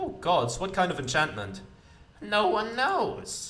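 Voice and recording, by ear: The voice is natural. It is reading aloud.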